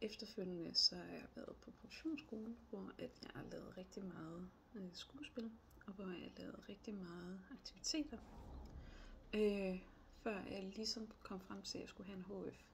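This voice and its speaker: A woman's fairly slow speech with big swings in loudness. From northern Jutland, Denmark (Aalborg area). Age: 30s. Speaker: job applicant. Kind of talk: job application video monologue. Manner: hesitant, many fillers.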